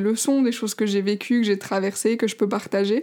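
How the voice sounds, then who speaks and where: Her pitch is fairly high for a woman, with fairly even intonation. She speaks at a moderate pace. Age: 20s. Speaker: life coach and podcaster. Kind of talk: casual solo podcast monologue. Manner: hesitant, many fillers.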